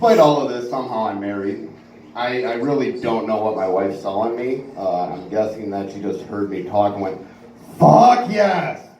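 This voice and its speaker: Amid noticeable background noise and audible room echo, a man speaks at a fairly low pitch and a moderate pace with ordinary pitch variation. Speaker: stand-up comedian. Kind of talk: stand-up.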